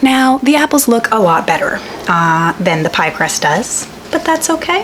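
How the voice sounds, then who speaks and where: Delivered at a fairly slow pace, the speech has very wide pitch swings against noticeable background noise. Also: woman. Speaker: home cook, lifestyle vlogger. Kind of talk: casual cooking vlog talk to camera.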